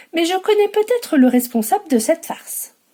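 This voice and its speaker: This woman's tone is dark and mellow. She talks at a fairly slow pace. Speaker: bookseller. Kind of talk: children's story reading.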